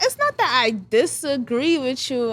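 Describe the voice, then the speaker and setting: This is a woman speaking with a New York accent. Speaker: hairstylist. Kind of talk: casual chat.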